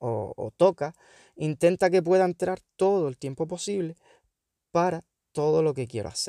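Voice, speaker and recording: Dark and mellow in tone, the voice moves at a fairly slow pace in a very clean, dry, close recording with no echo and a silent background. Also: man. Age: 30s. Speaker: podcaster and schoolteacher. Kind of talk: personal monologue.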